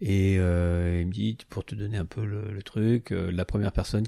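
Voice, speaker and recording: A dark, mellow voice moves at a fairly slow pace on a very clean recording with a silent background. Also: man. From France. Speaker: artist. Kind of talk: interview. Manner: hesitant, many fillers.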